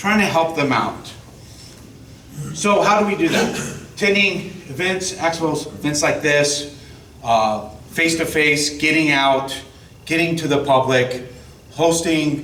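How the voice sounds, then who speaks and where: With a fairly high pitch, ordinary pitch variation, and very even loudness, a man speaks at a fairly slow pace with long, frequent pauses, noticeable background noise, and audible room echo. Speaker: state tax outreach officer. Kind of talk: presentation to an audience.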